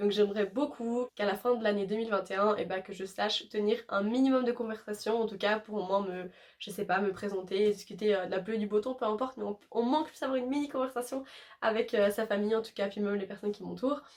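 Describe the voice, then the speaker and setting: A woman with a medium pitch talks very fast, her intonation fairly even. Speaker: YouTuber. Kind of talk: casual vlog talk. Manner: hesitant with many fillers.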